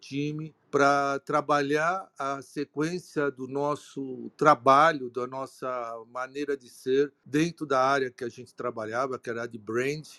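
Very slowly paced, the speech has a dry, close sound with no echo. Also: man. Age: 60s. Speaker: retired auto industry executive. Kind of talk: live-streamed panel talk. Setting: online live broadcast. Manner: hesitant, many fillers.

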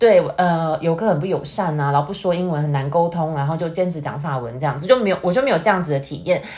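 A somewhat breathy woman, fairly low-pitched with ordinary pitch variation, at a very fast pace with hardly any pauses. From Taiwan. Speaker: YouTuber. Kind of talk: casual chat. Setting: remote online call.

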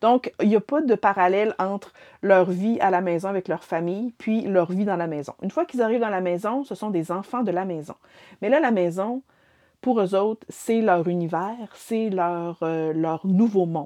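Against a quiet background, a woman with a Quebec accent speaks in a dark, mellow tone. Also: medium pitch for a woman, ordinary pitch variation, moderate pace, dry, close sound with no echo. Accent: Québécois French. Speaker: book reviewer. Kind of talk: casual chat. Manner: halting.

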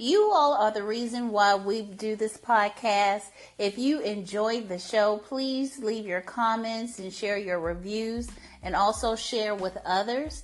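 A woman with an unremarkable speaking voice talks at a fairly slow pace and fairly high pitch, with fairly even intonation. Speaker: podcast co-host. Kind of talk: casual chat.

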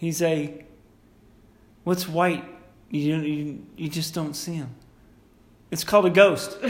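The pace is very slow, with long, frequent pauses. Intonation stays fairly even. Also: man, fairly high pitch for a man. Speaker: podcast host. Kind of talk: casual chat.

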